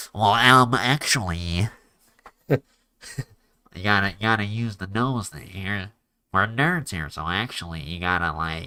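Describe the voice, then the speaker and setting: Putting on a nasal character voice, a man with a fairly low pitch talks at a moderate pace with lively intonation, big swings in loudness and long, frequent pauses. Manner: mocking.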